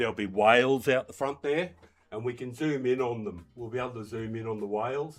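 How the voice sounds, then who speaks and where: Man with an Australian accent, medium pitch, fairly quick pace, music in the background. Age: 60s. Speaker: gaming streamer. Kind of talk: casual chat. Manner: rambling, relaxed.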